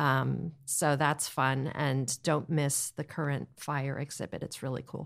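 On a very clean recording with a silent background, a woman with an American accent speaks at a very deep, low pitch with vocal fry, in a monotone, flat intonation at a fairly slow pace with hardly any pauses. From central New Jersey. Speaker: real estate broker. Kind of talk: interview.

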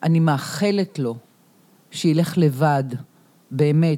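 Her tone dark and mellow with ordinary pitch variation, a woman is heard on a very clean recording against a silent background. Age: 60s. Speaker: yoga and movement theatre teacher, protest activist. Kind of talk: casual chat. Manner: animated.

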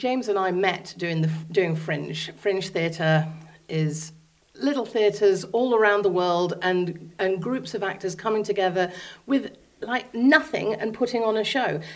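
A plain, everyday voice from a woman, medium in pitch, fairly slow, with ordinary pitch variation. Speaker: theatre co-owner. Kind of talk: interview.

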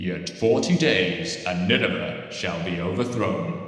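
A man uses a put-on character voice with lively intonation at a fairly slow pace. There is a strong echo. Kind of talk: solemn, biblical. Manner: booming, grand.

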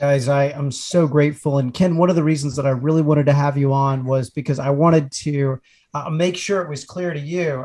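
At a moderate pace, the voice comes out somewhat breathy, with monotone, flat intonation. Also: man. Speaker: podcast co-host. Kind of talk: casual roundtable discussion. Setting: recording from home.

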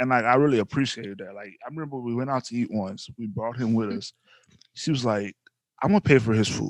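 Speaking very fast in a Louisiana accent, a man shifts greatly in loudness, the sound dry and close with no echo. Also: medium pitch for a man, ordinary pitch variation. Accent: Louisiana Southern US. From North Louisiana. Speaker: podcast host, husband. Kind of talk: casual chat.

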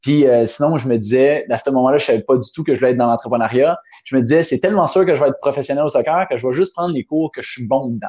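A man with a Quebec accent, fairly high-pitched, animated in tone and at a very fast pace. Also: ordinary pitch variation. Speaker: entrepreneur. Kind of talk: interview.

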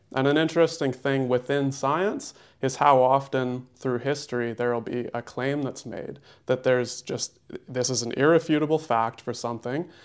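A man talks at a moderate pace in an unremarkable speaking voice, medium in pitch with fairly even intonation. The recording is very clean, with a silent background. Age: 20s. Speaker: holistic nutritionist. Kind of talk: casual interview.

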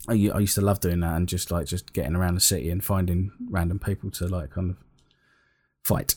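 At a very fast pace, a man with a very deep, low pitch speaks somewhat breathily with fairly even intonation. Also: very clean recording, silent background. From northern England, Sheffield. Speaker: podcast guest, gamer. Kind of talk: casual chat.

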